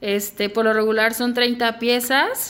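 This woman speaks very slowly with a Guadalajara accent, her pitch fairly high. The recording is very clean, with a silent background. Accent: Mexican Spanish (Guadalajara). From Mexico, Guadalajara. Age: 20s. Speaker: fashion designer. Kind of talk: interview.

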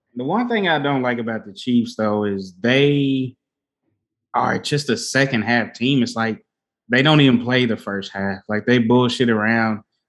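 An ordinary speaking voice from a man of medium pitch, with ordinary pitch variation and a fairly slow pace. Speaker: podcast co-host. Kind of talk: casual chat. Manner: casual, conversational.

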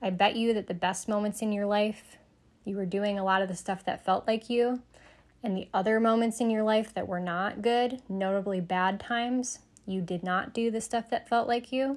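Over a very clean recording and silent background, a normal speaking voice moves at a moderate pace with fairly even intonation. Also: woman, fairly high pitch for a woman. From US Midwest, Michigan (Sterling Heights). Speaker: psychic medium and podcast host. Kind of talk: solo podcast monologue.

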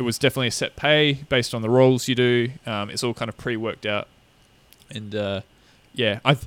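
This man talks at a fairly quick pace with an Australian accent. His pitch is medium and his intonation fairly even. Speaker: podcast co-host. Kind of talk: casual chat.

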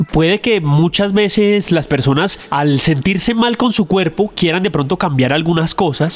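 A man with a high voice talks at a fairly slow pace, his loudness very even and his pitch variation ordinary, over noticeable background noise. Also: hardly any pauses. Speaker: podcast co-host. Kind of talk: casual chat. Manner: joking banter with laughter.

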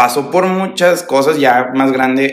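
Very slow speech from a man at medium pitch with ordinary pitch variation, in audible room echo. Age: 20s. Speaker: entrepreneur, fashion brand founder. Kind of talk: casual interview chat. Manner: casual, slangy.

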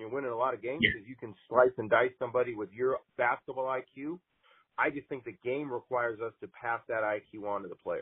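Speaking with an American accent in a normal speaking voice, a man holds a medium pitch and fairly even intonation while his loudness swings widely. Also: fairly quick pace. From Montana. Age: 40s. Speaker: college basketball coach. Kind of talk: interview.

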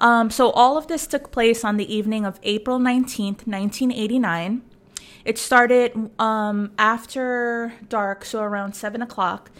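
In an unremarkable speaking voice, a woman talks at a moderate pace and a fairly high pitch with fairly even intonation, on a very clean recording with a silent background. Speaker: podcast co-host. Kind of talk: casual chat.

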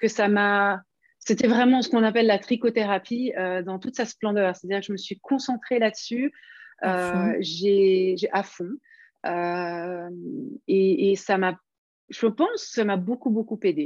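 Against a quiet background, a woman with a medium pitch speaks fairly slowly, leaving long, frequent pauses. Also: ordinary pitch variation. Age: 50s. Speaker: knitting pattern designer. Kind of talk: interview. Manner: hesitant, many fillers.

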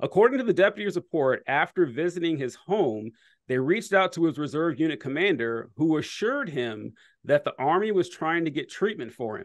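A fairly high-pitched male voice with very wide pitch swings and a fairly quick pace. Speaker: podcast host. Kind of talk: casual political discussion. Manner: animated.

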